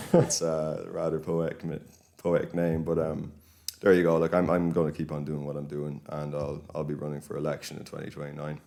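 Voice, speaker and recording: Speaking fairly quickly with an Irish accent, a man with a very deep, low pitch keeps a monotone, flat intonation while his loudness swings widely. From Ireland, County Kildare. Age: 20s. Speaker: local political activist. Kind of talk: podcast interview.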